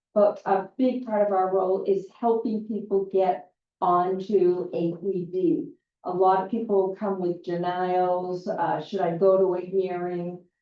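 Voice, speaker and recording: A woman talks with fairly even intonation. Her pitch sits in the medium range. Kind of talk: public forum Q&A talk. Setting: community meeting with audience. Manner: loud.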